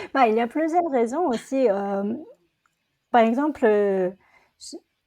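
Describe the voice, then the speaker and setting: A woman speaks very slowly in a high pitch with a dark, mellow tone. Her intonation is lively, and her loudness swings widely. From South Korea. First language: Korean (speaking French). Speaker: entrepreneur. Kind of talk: interview conversation. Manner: halting.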